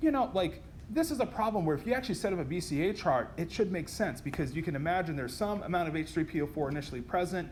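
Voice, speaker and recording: At a very fast pace, a man talks with lively intonation, and the room echo is audible. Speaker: chemistry lecturer. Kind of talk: lecture.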